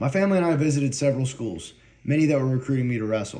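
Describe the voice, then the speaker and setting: The voice carries a slight Southern US accent and a dark, mellow tone. The words come out very fast. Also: man. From US South, North Carolina Piedmont. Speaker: university student. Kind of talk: prepared personal speech.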